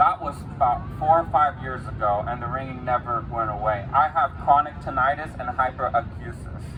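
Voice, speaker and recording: Against noticeable background noise, a man speaks at a moderate pace in a medium pitch with ordinary pitch variation. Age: 20s. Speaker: rally speaker. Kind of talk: testimony. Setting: outdoor rally at the state capitol.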